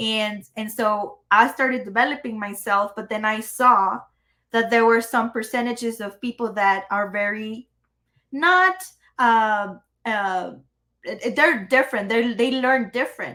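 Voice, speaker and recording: With a Spanish accent and a bright, sharp tone, a woman speaks at a fairly slow pace with ordinary pitch variation. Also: fairly high pitch for a woman. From Mexico, Chihuahua. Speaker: entrepreneur and AI consultant. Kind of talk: podcast interview.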